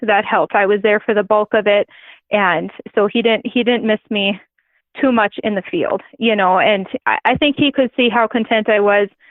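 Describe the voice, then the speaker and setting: A woman with an Upper Midwest accent speaks at a moderate pace and a fairly high pitch, with ordinary pitch variation and very even loudness. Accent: Upper Midwest American. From North Dakota. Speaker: grain farmer and adoptive mother. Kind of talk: interview answer.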